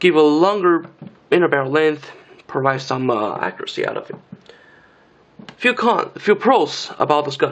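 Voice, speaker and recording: Someone speaks at a moderate pace with a Chinese accent over noticeable background noise. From China. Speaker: airsoft gun reviewer. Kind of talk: product review. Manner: hesitant, repetitive fillers.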